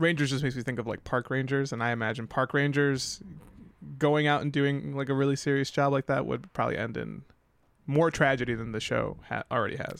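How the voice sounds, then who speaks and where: With an American accent, a man speaks at a fairly quick pace in a plain, everyday voice, keeping a medium pitch and fairly even intonation. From New York. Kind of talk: casual chat.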